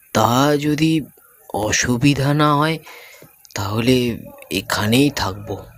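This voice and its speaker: Putting on a character voice, a man sounds strained as he speaks at a fairly slow pace and a medium pitch. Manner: restrained, anxious.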